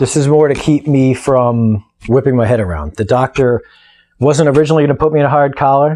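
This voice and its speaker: In a dark, mellow tone, a man talks fairly quickly at medium pitch, with ordinary pitch variation and very even loudness. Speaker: weightlifter recovering from neck surgery. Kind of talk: video diary update. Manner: casual, halting with frequent fillers.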